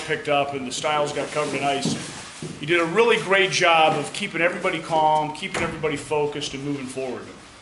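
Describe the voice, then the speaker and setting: Against noticeable background noise and audible room echo, a man speaks at a fairly quick pace with a fairly high pitch and ordinary pitch variation. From US South. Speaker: military officer. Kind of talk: award speech. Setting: school hall with audience.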